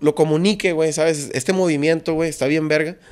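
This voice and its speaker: A high-pitched male voice against a quiet background. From Mexico. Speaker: rapper; guest. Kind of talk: casual interview chat. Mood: relaxed casual. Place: studio. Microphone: studio mic.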